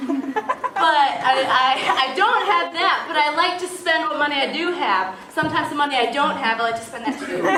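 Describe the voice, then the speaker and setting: Over noticeable background noise and audible room echo, a woman with a high pitch speaks in a raised, projected voice at a moderate pace with lively intonation. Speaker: speaker introducing herself to a church group. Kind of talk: casual talk to a group. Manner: loud; animated.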